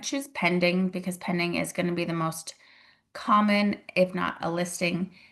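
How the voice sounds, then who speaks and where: A woman with vocal fry speaks at a medium pitch and a moderate pace, with ordinary pitch variation. The background is quiet. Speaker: real estate agent and mentor. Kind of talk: tutorial. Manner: casual, conversational.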